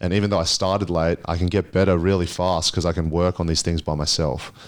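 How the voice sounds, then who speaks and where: Very fast and very even in loudness, this man's very deep, low voice stays monotone and flat. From Papua New Guinea. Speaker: basketball player. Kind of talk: interview. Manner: casual with many fillers.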